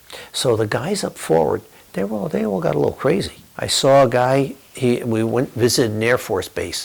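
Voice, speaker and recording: This man keeps a moderate pace while noticeable background noise carries on behind him. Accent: American. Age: 60s. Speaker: war veteran. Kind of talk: testimony.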